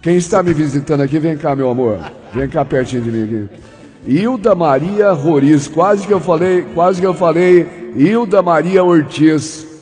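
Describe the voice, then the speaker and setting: Over noticeable background noise, a man with a fairly high pitch speaks at a moderate pace in an animated tone with lively intonation. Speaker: radio host. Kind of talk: casual chat. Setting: studio.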